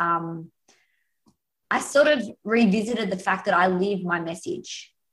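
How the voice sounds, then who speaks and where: With an Australian accent, this voice shows ordinary pitch variation. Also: woman. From Australia, north of Sydney. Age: 30s. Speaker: happiness coach. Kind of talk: interview.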